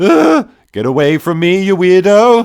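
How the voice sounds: A man's put-on character voice, high-pitched and slightly mellow, with big pitch swings, vocal fry and a fairly slow pace. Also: very clean recording, silent background.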